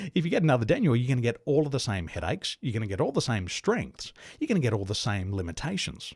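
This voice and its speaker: A man with an Australian accent talks at a very fast pace in a somewhat breathy voice, his medium pitch swinging very widely. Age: 40s. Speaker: business coach. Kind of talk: interview.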